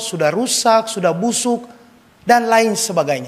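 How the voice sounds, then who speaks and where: A man speaks at a high pitch. Audible room echo surrounds his voice. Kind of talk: sermon. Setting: church, Mass.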